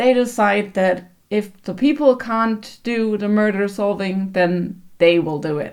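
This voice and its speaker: A woman with a German accent speaks very slowly at a medium pitch with ordinary pitch variation. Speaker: book vlogger. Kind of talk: casual book review.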